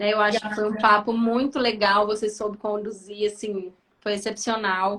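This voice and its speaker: A woman's calm, fairly high voice with monotone, flat intonation, at a moderate pace. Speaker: psychiatrist. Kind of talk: casual chat. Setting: video call.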